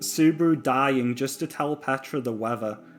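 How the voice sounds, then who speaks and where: Over music in the background, a man speaks at a fairly slow pace with a fairly high pitch. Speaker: anime commentary youtuber. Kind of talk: casual video commentary. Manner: unscripted, halting with stutters.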